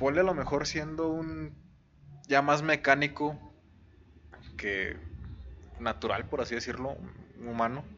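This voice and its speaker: A man's bright, sharp, fairly high voice with a Mexican accent, fairly slow and broken by long, frequent pauses. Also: ordinary pitch variation. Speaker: podcast co-host. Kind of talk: casual chat.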